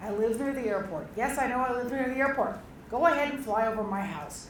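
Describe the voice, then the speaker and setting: A woman's voice, with ordinary pitch variation, comes through noticeable background noise and audible room echo. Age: 70s. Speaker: local resident commenter. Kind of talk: public comment at open house. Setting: public meeting with audience.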